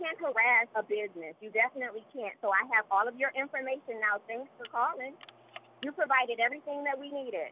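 A woman talks at a fairly quick pace with light background noise. The sound is dry, with no echo. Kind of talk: heated phone argument. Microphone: phone line.

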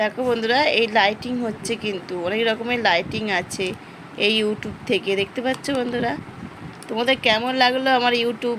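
Against noticeable background noise, a woman with a fairly high pitch speaks with fairly even intonation. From West Bengal, Murshidabad. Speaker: vlogger. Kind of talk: casual vlog narration. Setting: outdoors at a village fair.

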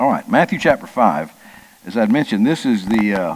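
Noticeable background noise sits behind a man whose pitch variation is ordinary. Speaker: Sunday school teacher. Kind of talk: Bible study lesson. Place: church. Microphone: headset.

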